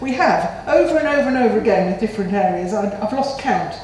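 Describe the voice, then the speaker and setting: This woman's voice carries audible room echo. Some light noise sits in the background. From England. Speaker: local councillor. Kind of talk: council meeting debate. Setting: council chamber. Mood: critical, frustrated. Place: meeting room. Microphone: podium.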